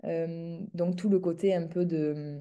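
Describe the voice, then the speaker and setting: A woman with a southern French accent, fairly low pitch, dark and mellow tone, fairly even intonation, quiet background. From southern France, near Montpellier. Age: 30s. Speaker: entrepreneur in the equestrian business. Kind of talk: interview conversation.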